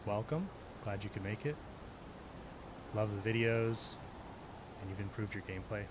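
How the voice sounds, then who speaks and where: A soft-spoken man talks at a moderate pace. His pitch sits fairly low. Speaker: gaming streamer. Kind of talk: live stream gameplay commentary.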